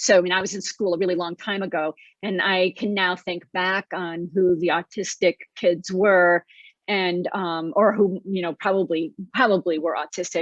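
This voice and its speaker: At a moderate pace, a woman with a medium pitch talks with fairly even intonation. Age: 60s. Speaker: children's book author. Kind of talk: interview. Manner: halting.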